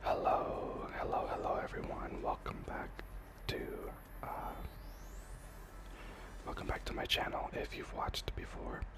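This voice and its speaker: Noticeable background noise behind whispering at a fairly slow pace, broken by long, frequent pauses. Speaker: ASMR gaming creator. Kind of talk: whispered gameplay ramble. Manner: whispered.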